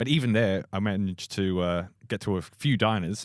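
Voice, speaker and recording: This man has a fairly low pitch and an Australian accent. The recording is very clean, with a silent background. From Australia, Melbourne. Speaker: comedian. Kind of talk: casual chat. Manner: fast.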